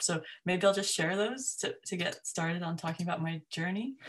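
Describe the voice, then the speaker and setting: A woman with a fairly low pitch talks at a fairly quick pace, her pitch varying in an ordinary way. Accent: American. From US, upstate New York. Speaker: academic geographer. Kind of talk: informal talk to a discussion group.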